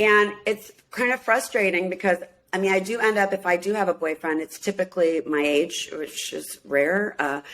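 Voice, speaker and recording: A woman with an American accent talks in an unremarkable speaking voice of medium pitch and ordinary pitch variation. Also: moderate pace. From US Midwest, Minneapolis. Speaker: singer and reality show cast member. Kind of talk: casual interview chat.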